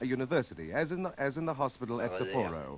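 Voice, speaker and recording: Vocal fry runs through this voice, which makes very wide pitch swings. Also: man. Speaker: television reporter. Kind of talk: live television reporting.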